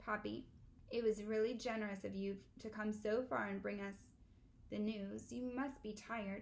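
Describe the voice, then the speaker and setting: Using a put-on character voice, a woman speaks huskily at a medium pitch and moderate pace, with long, frequent pauses. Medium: read story. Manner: formal, polite.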